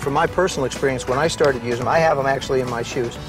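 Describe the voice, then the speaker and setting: A man rattles off his words at a very fast pace. Music runs behind his fairly high-pitched voice. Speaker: former pro football quarterback and broadcaster. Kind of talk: infomercial presentation.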